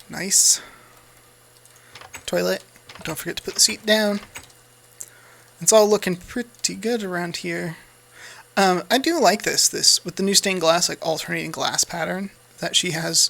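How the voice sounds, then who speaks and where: Against noticeable background noise, a man with an American accent and a high pitch talks at a moderate pace, with fairly even intonation and long, frequent pauses. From United States. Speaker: gaming YouTuber. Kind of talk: gameplay commentary. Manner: casual, hesitant with fillers.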